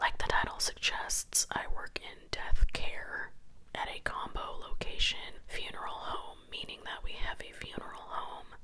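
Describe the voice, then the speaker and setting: Someone whispers at a fairly slow pace with big swings in loudness against noticeable background noise. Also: woman. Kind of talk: reading a Reddit story aloud. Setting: home recording with scratching noises in the background. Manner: whispered.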